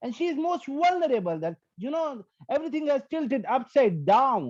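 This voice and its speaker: A man with an Indian accent, extremely high in pitch, with an animated tone, very wide pitch swings and a moderate pace, over a quiet background. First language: Hindi and Punjabi. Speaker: stand-up comedian. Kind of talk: stand-up.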